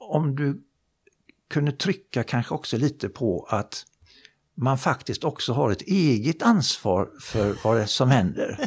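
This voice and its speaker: Speaking very slowly, a man with a medium pitch and lively intonation sounds somewhat breathy in a very clean recording with a silent background. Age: 70s. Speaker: psychologist and motivational speaker. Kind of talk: casual interview chat.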